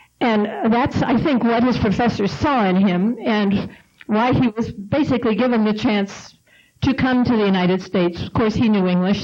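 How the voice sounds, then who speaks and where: A woman has a plain, everyday voice. She talks at a moderate pace with ordinary pitch variation. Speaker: panelist, spouse of the author. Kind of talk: panel discussion talk.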